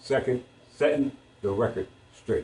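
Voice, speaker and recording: A somewhat breathy man with a fairly high pitch speaks at a fairly slow pace. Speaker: sovereign citizen lecturer. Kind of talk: lecture. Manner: slurred; halting.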